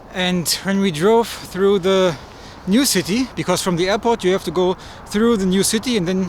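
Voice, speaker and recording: A man speaks with a German accent, his pitch high for a man. Noticeable background noise runs underneath. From Germany. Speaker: travel vlogger. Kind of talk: travel vlog.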